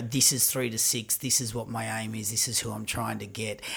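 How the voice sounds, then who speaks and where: Words come at a fairly brisk speed. There's noticeable noise behind the speech. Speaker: podcast host. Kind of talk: interview.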